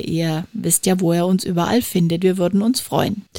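A woman's medium-pitched voice, fairly even in intonation, comes at a moderate speed against noticeable background noise. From Franconia, Germany. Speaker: podcast host and podcast trainer. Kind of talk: casual chat.

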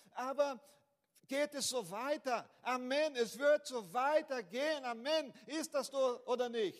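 Speaking very slowly with a strong Brazilian accent, a man uses an extremely high pitch with ordinary pitch variation. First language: Portuguese (speaking German). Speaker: pastor. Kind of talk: sermon. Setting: church. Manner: halting, with fillers and repeats.

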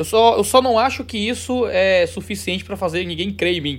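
A man speaks at a fairly quick pace. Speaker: theologian and religious YouTuber. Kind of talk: interview conversation.

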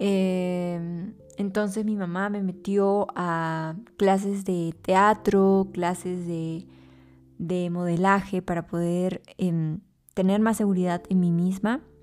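Monotone, flat intonation and a very slow pace come through in a very clean recording with a silent background. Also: woman, medium pitch for a woman. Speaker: podcast host, actress and model. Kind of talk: personal monologue. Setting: at home.

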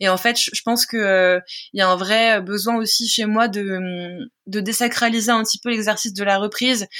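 This woman speaks at a moderate pace in a fairly high pitch. Her intonation stays monotone and flat. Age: 30s. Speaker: singer-songwriter. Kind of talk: interview.

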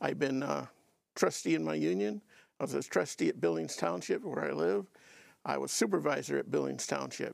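With an American accent, a man speaks fairly quickly at a very deep, low pitch, swinging very widely in pitch with vocal fry, on a very clean recording with a silent background. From Michigan. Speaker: political candidate, retired carpenter. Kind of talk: candidate forum. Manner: halting, many fillers.

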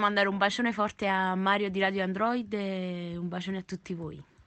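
At a fairly quick pace, a woman speaks with a Neapolitan accent at a medium pitch. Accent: Neapolitan Italian. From Naples, Italy. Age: 20s. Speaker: singer and online content creator. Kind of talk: casual radio interview. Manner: animated.

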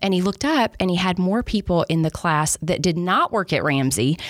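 Lively intonation and a Southern US accent come through in a dry, close sound with no echo. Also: woman. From Alabama. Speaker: business executive. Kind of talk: podcast interview. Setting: studio.

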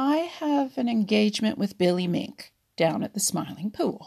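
A female-sounding, fairly high put-on character voice, drawling at a moderate pace. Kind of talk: bedtime story. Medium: read story. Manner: drawling, smug, boastful.

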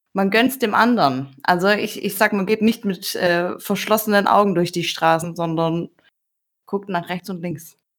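A woman with an ordinary speaking voice talks at a fairly slow pace and a medium pitch, with ordinary pitch variation. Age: 30s. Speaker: online dating user. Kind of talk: casual chat.

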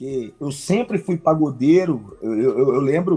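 Lively intonation marks this high-pitched man's voice, which has a dark, mellow tone. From Santa Luzia, Minas Gerais, Brazil. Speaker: rapper. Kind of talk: casual interview chat. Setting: live stream. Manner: halting, many repetitions.

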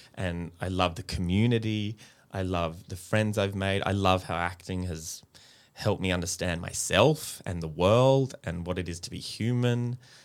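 An Australian-accented man with a very deep, low pitch, ordinary pitch variation and a moderate pace, on a very clean recording with a silent background. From Australia, Brisbane (Queensland). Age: 30s. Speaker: actor and children's TV presenter. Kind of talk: casual interview. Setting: studio.

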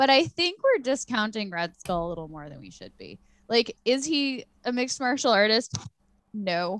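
On a very clean recording with a silent background, a woman speaks at a moderate pace and fairly high pitch, making very wide pitch swings and big swings in loudness. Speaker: podcast host. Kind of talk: casual chat. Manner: animated.

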